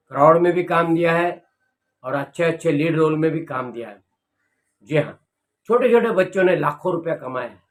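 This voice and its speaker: A man speaks with a fairly high pitch. His pitch varies in an ordinary way. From Mumbai, India (Dharavi). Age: 60s. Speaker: film director and acting teacher. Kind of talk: personal monologue to camera.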